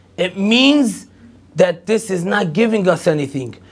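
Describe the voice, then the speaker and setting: A man with an Israeli accent and lively intonation. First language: Hebrew. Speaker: rabbi, lecturer. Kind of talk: lecture.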